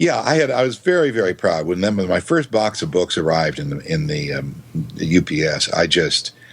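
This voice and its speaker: Over noticeable background noise, a man with a very deep, low pitch talks at a fairly quick pace with very wide pitch swings. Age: 60s. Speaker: voiceover artist and author. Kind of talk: interview. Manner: halting.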